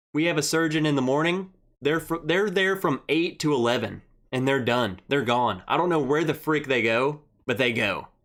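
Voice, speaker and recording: Very cleanly recorded against a silent background, a man with a Southern US accent speaks at a moderate pace in a fairly high voice, with ordinary pitch variation and very even loudness. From Arkansas. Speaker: whiskey livestream host. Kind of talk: casual chat. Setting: livestream.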